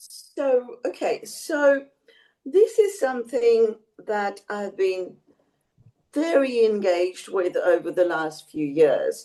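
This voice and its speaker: Her pace is very slow and her pitch swings very widely. She is a woman with an Australian accent. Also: fairly high pitch for a woman. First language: Bengali. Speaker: emeritus professor. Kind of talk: interview. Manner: hesitant with fillers.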